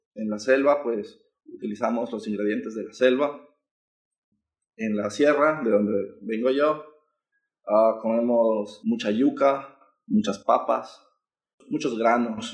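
Delivered at a very slow pace, the speech has long, frequent pauses and ordinary pitch variation. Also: man, medium pitch for a man. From Ecuador, Quito. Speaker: student. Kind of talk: interview.

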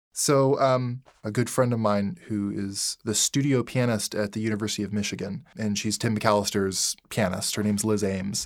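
With an American accent and an ordinary speaking voice, a man talks fairly quickly in a fairly low voice with fairly even intonation, in a very clean recording with a silent background. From Colorado. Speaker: saxophone soloist. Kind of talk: casual chat. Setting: studio.

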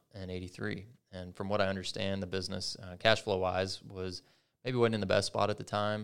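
On a very clean recording with a silent background, a man with a very deep, low pitch speaks at a fairly quick pace, with monotone, flat intonation and big swings in loudness. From Kentucky (Oldham County). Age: 30s. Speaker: third-generation family business owner. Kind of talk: casual interview chat. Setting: podcast studio.

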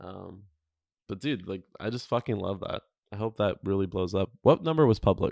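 A man with a normal speaking voice, fairly low-pitched with ordinary pitch variation and big swings in loudness, at a moderate pace, dry and close with no echo on a very clean recording with a silent background. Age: 20s. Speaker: podcast host. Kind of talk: casual chat.

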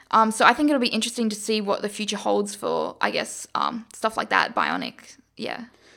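In a very clean recording with a silent background, a woman with an Australian accent speaks in a monotone, flat intonation at a fairly high pitch, her tone bright and sharp with vocal fry. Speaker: engineering student and startup founder. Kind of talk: interview. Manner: hesitant, many fillers.

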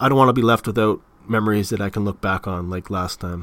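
Someone speaks at a fairly quick pace with an Ontario accent. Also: man. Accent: Canadian (Ontario). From Canada, Toronto area. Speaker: podcast host. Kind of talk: casual monologue.

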